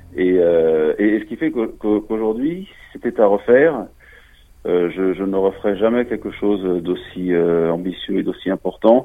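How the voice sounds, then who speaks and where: A man speaks at a fairly slow pace. His pitch is fairly low, with ordinary variation. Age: 40s. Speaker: former construction business manager. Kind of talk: testimony. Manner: halting.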